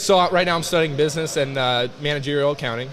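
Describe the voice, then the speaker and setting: Over noticeable background noise, a man with an American accent talks very fast in a fairly high pitch with fairly even intonation. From US Midwest, eastern Iowa. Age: 20s. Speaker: college football player. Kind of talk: casual interview. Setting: loud weight room, live stream.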